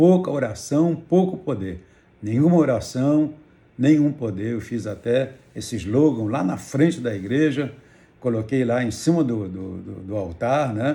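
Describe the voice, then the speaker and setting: A man with a dark, mellow tone talks at a fairly slow pace, somewhat breathy, with lively intonation. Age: 70s. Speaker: pastor. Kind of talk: testimony.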